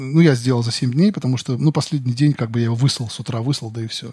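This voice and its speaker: A man's very fast, somewhat breathy speech at medium pitch, with ordinary pitch variation. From Western Siberia. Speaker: animator. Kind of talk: casual interview.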